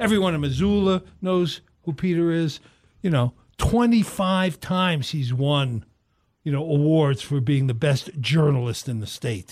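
Somewhat breathy and fairly high in pitch, a man speaks at a moderate pace with lively intonation. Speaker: radio co-host. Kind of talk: casual chat. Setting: studio.

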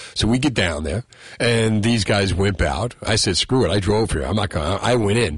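This man has a fairly low pitch and lively intonation. He keeps a moderate pace with very even loudness. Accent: American. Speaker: radio host. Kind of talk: talk radio. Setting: studio. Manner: animated.

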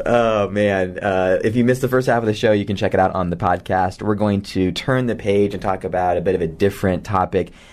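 A man speaks at a fairly quick pace in a fairly low pitch with a warm tone. Noticeable background noise runs behind him. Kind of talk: radio host patter. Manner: energetic, upbeat, chatty broadcaster delivery with stock sign-ons and teasers; warm, jokey banter with the producer.

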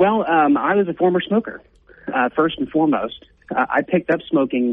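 A man talks at a fairly quick pace with lively intonation in an unremarkable speaking voice. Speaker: policy advocate. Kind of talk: interview.

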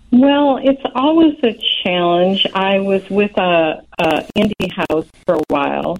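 Against noticeable background noise, a woman with an American accent speaks at a very slow pace with very wide pitch swings and hardly any pauses. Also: medium pitch for a woman. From Chicago. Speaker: novelist. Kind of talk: radio interview. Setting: phone call.

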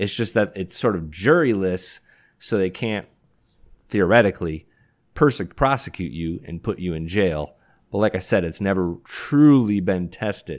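Male voice with an American accent, fairly low-pitched, a plain, everyday voice at a moderate pace with ordinary pitch variation, on a very clean recording with a silent background. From Detroit, US Midwest. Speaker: entertainment writer, show analyst. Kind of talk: casual chat.

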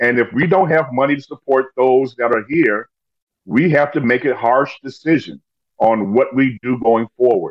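This man has a plain, everyday voice with an American accent. His medium pitch shows ordinary variation at a moderate pace. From Chicago, US Midwest. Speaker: former city alderman and lawyer. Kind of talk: casual interview.

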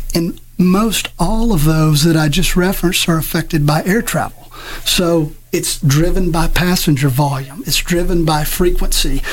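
A man's high-pitched voice at a moderate pace, with ordinary pitch variation and very even loudness, plus audible room echo and noticeable background noise. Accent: American. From South Mississippi, US. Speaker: airport executive director. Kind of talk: radio interview.

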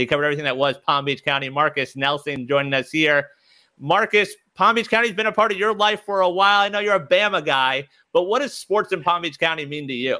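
Fairly high-pitched and bright, sharp in tone, a man speaks at a very fast pace with lively intonation. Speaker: radio co-host. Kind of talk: radio host patter.

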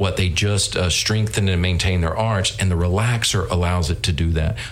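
A man with a Southern US accent, fairly quick, ordinary pitch variation, noticeable background noise and audible room echo. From North Carolina. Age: 50s. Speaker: business owner. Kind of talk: interview. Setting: studio.

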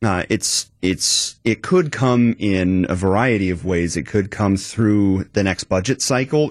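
In an American accent, a man with fairly low pitch and a normal speaking voice shows ordinary pitch variation, recorded as a dry, close sound with no echo against a quiet background. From Wisconsin, Madison area. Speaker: arts nonprofit president, veteran, musician. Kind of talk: radio interview. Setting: radio studio.

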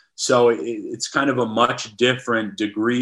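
With an American accent, a man speaks at a medium pitch in a bright, sharp tone. His pace is moderate and the background is quiet. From Wisconsin. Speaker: sports writer. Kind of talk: casual interview.

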